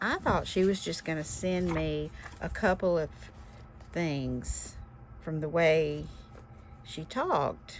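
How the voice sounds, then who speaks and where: A woman speaks at a very slow pace with long, frequent pauses. Noticeable background noise runs beneath her. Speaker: crafting youtuber. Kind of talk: casual chat. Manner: animated.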